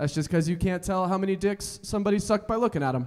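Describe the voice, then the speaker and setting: Against a quiet background, a man with an American accent talks loud and very fast at a high pitch, with ordinary pitch variation. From Colorado. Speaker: stand-up comedian. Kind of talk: stand-up comedy set. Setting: stage with live audience. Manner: high-energy, loud, crowd-working. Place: stage. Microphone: handheld.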